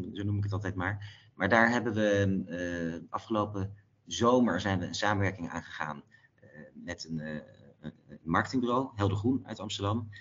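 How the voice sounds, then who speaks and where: This man's voice sits at a fairly low pitch with ordinary pitch variation. He keeps a moderate pace, with big swings in loudness. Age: 40s. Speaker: entrepreneur, company co-founder. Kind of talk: interview. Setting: phone call. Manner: hesitant, many fillers and repeats.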